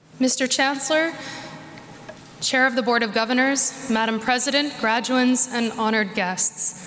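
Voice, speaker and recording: There's noticeable background noise as a woman speaks high, with very even loudness and fairly even intonation. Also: moderate pace. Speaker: university presenter. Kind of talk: convocation presentation speech.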